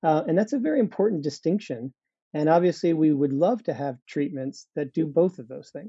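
A man with a fairly high pitch and an unremarkable speaking voice talks at a fairly quick pace. His intonation is lively. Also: big swings in loudness. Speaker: biotech company CEO. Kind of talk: interview, explanatory.

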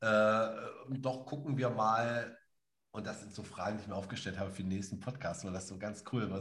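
His pitch varies in ordinary fashion. The man's voice is somewhat breathy. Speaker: podcast co-host and spiritual practitioner. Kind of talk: casual conversational podcast. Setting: live podcast recording.

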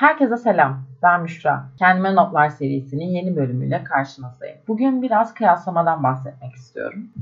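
Somewhat breathy and fairly low-pitched, a woman talks with hardly any pauses and very wide pitch swings. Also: moderate pace. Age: 20s. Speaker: podcaster. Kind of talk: solo reflective monologue. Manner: casual, conversational.

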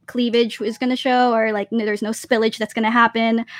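A woman's high-pitched voice over music in the background. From Philippines and US (born in Japan, Navy family). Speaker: activewear business owner. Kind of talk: casual interview on live stream. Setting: video call.

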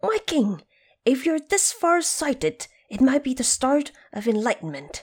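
A woman puts on a character voice, high-pitched with a slightly husky edge, moving through big pitch swings at a fairly slow pace on a very clean recording with a silent background.

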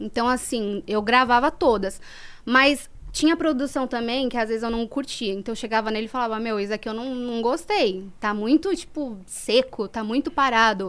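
This woman's voice sits at a fairly high pitch with ordinary pitch variation. She speaks at a moderate pace. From São Paulo, east side. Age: 20s. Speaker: former funk MC. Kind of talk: podcast interview.

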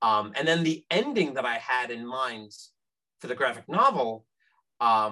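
At a moderate pace, a man with an American accent talks in a bright, sharp tone. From New York. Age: 40s. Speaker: author. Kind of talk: casual chat.

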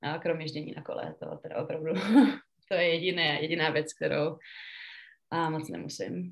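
A woman speaks at a fairly quick pace, broken by long, frequent pauses. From Czechia, Pardubice. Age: 20s. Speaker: professional ice hockey player. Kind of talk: interview. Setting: remote call.

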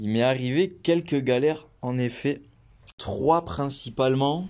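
A man with a slight Toulouse accent speaks at a very slow pace. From France, Toulouse. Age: 20s. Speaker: traveller. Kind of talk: interview.

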